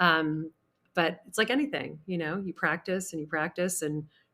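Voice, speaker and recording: A woman talks in an ordinary speaking voice, fairly low in pitch. Her pace is moderate and her intonation fairly even. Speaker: charity auctioneer. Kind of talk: interview answer.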